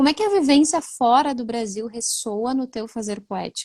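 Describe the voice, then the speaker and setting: Speaking in a strong southern Brazilian accent, a woman sounds somewhat breathy and sing-song, with ordinary pitch variation. Her moderate pace comes through with a dry, close sound and no echo. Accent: gaúcho accent, strong. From Rio Grande do Sul, Brazil. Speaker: writer and live host. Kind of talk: online book launch conversation. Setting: livestream. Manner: sing-song intonation.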